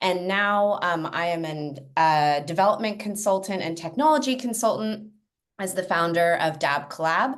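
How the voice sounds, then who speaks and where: A woman speaks with an American accent at medium pitch and a moderate pace. Her intonation is lively, and the room echo is audible. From US, California Bay Area. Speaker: education and technology consultant. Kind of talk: webinar panel introduction.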